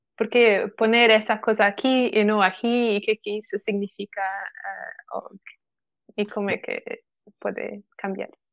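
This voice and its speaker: A woman with a Portuguese accent speaks at a fairly slow pace in a fairly high pitch, with monotone, flat intonation, long, frequent pauses and a dry, close sound with no echo. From Portugal. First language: Portuguese (speaking Spanish). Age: 20s. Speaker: software developer. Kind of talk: casual chat. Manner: halting.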